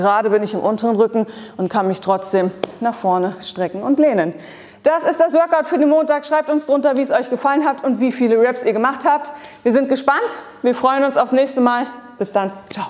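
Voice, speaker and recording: The woman's pitch is high. She speaks at a fairly quick pace. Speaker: fitness coach. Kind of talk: workout tutorial. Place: gym.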